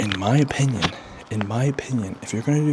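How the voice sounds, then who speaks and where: Ordinary pitch variation and a moderate pace are heard over noticeable background noise. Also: man. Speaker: fitness vlogger, strongman competitor. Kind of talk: casual workout vlog talk. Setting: home gym. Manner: quiet, trying not to wake child; casual, filler-heavy.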